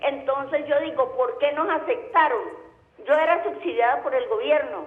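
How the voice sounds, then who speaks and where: Audible room echo surrounds a woman speaking at a high pitch with lively intonation. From Colombia, Tolima. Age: 60s. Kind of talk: call-in question.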